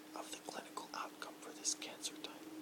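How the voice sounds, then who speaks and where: The voice is a whisper. Behind it, background noise is noticeable. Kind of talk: ASMR reading of a science journal article. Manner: whispered.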